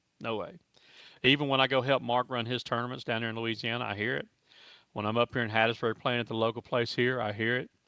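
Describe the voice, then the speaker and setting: Very fast and monotone, a man speaks in a bright, sharp tone at medium pitch. The recording is very clean, with a silent background and a dry, close sound with no echo. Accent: Southern US. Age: 60s. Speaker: foosball tournament promoter. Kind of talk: casual chat.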